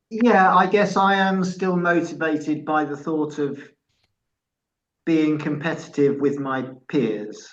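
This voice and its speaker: A man with a fairly high pitch and an English accent, plus audible room echo. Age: 60s. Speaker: masters athlete. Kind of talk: casual chat.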